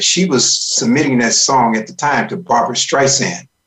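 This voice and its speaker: Someone with an ordinary speaking voice and an American accent talks at a fairly quick pace. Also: man. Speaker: band leader and radio voice. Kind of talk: radio interview, casual chat. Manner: relaxed, chatty, anecdotal.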